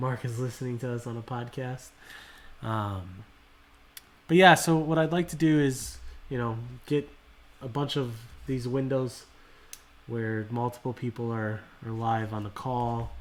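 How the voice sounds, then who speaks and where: The tone is calm and relaxed, the pace fairly slow, with long, frequent pauses. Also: man, medium pitch for a man. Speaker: card collecting livestream host. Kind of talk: casual livestream chat. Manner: monotone; calm, relaxed.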